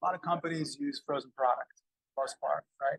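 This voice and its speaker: A somewhat breathy man is heard in a dry, close sound with no echo. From Montreal, Canada. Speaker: food business owner. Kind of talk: casual interview. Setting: restaurant.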